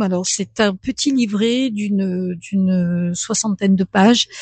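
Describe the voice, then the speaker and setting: The voice is somewhat breathy with a dark, mellow tone and ordinary pitch variation, recorded dry and close with no echo. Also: woman. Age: 60s. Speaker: French as a foreign language trainer. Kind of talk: radio interview. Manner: halting, many hesitations.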